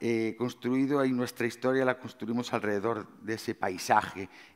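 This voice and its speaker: A man's intonation stays fairly even, with a quiet background behind him. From Galicia, Spain. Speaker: chef. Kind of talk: conference talk. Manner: hesitant, many fillers. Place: stage. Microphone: headset.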